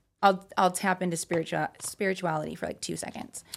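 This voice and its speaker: Ordinary pitch variation marks this woman's speech in an American accent. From Utah. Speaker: exotic dancer. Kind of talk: casual interview.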